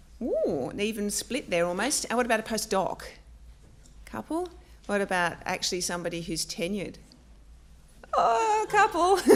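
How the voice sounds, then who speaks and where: Her delivery moves at a moderate pace. This woman talks with an Australian accent. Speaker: academic librarian and panel chair. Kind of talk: introductory talk to a live audience. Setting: lecture room with audience. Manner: many filler ums; halting.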